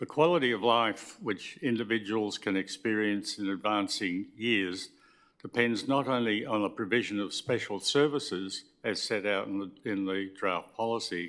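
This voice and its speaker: A man speaks at a moderate pace in an Australian accent, his pitch fairly low with ordinary variation. The recording is very clean, the background silent. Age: 80s+. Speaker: member of the public addressing council. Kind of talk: public submission at council meeting. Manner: formal; halting.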